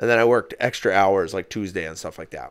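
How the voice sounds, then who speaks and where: Recorded very cleanly against a silent background, a man with a fairly low voice speaks at a fairly quick pace. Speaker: podcast co-host. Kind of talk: casual chat. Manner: animated; loud, half yelling.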